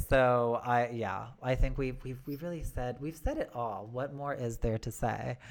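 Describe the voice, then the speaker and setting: Very deep and low, a woman's voice carries an American accent, with fairly even intonation at a fairly slow pace and hardly any pauses. The recording is very clean, with a silent background. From United States. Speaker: podcast host. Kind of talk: interview chat.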